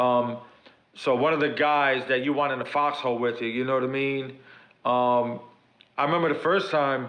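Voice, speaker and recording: Talking at a fairly quick pace in a New York accent, a man holds his fairly high pitch to fairly even intonation, with audible room echo around him. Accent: Bronx New York. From New York City (South Bronx). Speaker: pro wrestler. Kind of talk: podcast interview.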